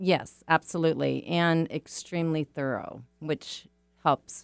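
Over music in the background, a woman speaks at a fairly slow pace in a dry, close sound with no echo. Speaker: mortgage lender guest. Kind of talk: interview answers, professional explanation. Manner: clear, explanatory.

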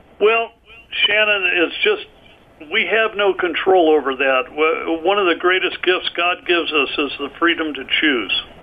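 Fairly slow speech with ordinary pitch variation amid noticeable background noise. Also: man, high pitch for a man. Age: 70s. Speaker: author, martial arts teacher and rancher. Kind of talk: interview conversation. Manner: halting, many fillers.

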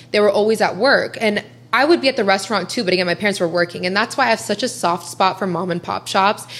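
A woman's very fast speech at medium pitch, with ordinary pitch variation, an American accent and noticeable background noise. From US Midwest (Columbus, Ohio). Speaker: social media influencer. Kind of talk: casual interview chat.

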